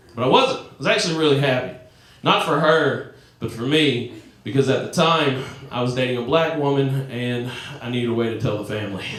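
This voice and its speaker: Amid noticeable background noise and audible room echo, a man with a Southern US accent talks at a fairly quick pace with ordinary pitch variation. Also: medium pitch for a man. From US South. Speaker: comedian. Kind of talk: stand-up. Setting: stage with audience. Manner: animated.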